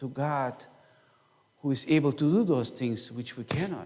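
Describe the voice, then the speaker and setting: With a German accent, a man speaks at a fairly slow pace in a fairly high pitch, his intonation lively and his tone dark and mellow. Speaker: pastor. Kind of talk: sermon. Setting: church.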